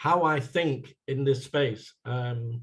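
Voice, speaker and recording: This man's medium-pitched voice is somewhat breathy, with fairly even intonation. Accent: American. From England (West London area). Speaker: sustainability consultant. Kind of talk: workshop presentation.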